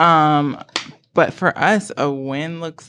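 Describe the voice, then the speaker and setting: A woman with an American accent. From North Carolina. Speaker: discrimination attorney. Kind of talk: casual interview.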